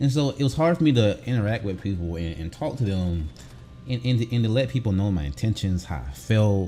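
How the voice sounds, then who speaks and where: A man's very fast speech with very wide pitch swings, music in the background. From US South. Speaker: gaming youtuber, navy veteran. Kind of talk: casual vlog commentary.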